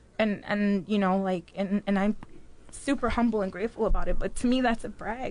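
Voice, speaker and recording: A woman's medium-pitched delivery in a Chicago accent, fairly even in intonation and fairly quick. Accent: Chicago American English. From Mexico City, raised in Chicago. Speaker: business owner. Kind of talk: casual interview chat.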